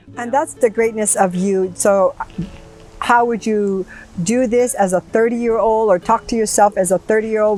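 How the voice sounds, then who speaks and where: A woman's animated, fairly high voice with ordinary pitch variation, at a moderate pace over music in the background. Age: 70s. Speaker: talk show host. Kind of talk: interview chat. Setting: outdoors in a garden.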